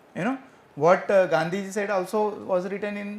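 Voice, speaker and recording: Here a man speaks fairly quickly in a high voice. Audible room echo surrounds him. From India, rural village. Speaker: professor. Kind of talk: Q&A answer after lecture. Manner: hesitant, with fillers.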